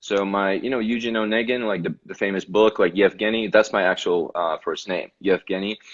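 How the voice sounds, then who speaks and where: A man is speaking. He has a slight Russian accent. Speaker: actor. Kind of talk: casual interview. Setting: video call.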